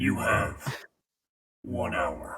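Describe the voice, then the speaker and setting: A man puts on a raspy character voice. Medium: actual play. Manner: cold, commanding.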